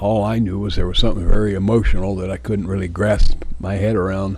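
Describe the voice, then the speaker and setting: There's audible room echo around this man's very deep, low voice as his intonation stays lively. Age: 70s. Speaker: video diarist. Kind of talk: personal video journal monologue. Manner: rambling, hesitant with fillers.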